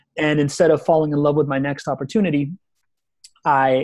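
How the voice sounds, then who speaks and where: Music plays in the background as a man talks at a fairly quick pace. His pitch is fairly high and his intonation is monotone and flat. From Venezuela, raised in Miami and Spain. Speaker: entrepreneur and consultant. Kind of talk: interview answer. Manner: casual, conversational. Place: home room. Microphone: video call.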